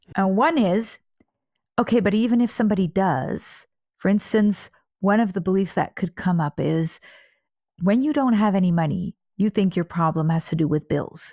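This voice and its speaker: At a moderate pace, a woman with medium pitch, a dark, mellow tone and a somewhat breathy quality speaks with very even loudness and ordinary pitch variation, leaving long, frequent pauses in a dry, close sound with no echo. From Netherlands. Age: 40s. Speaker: money coach and trauma therapist. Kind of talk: interview.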